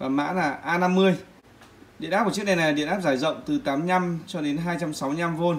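This man speaks in a high voice at a fairly slow pace, with ordinary pitch variation. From Vietnam. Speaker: product reviewer. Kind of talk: tutorial. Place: home room. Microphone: phone near.

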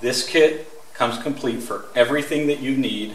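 Audible room echo around a man talking. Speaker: product demonstrator. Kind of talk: tutorial. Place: workshop. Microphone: camera far.

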